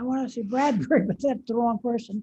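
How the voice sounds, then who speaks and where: A woman speaks with a fairly high pitch and a dark, mellow tone. Her voice is somewhat breathy, and her intonation stays fairly even. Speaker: retired physician. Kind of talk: casual chat. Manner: halting.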